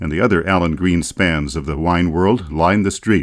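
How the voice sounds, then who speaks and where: A man talks at a moderate pace in a very deep, low voice with vocal fry. The recording is very clean, with a silent background. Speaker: author narrator. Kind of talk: audiobook travel narration. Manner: wry, humorous.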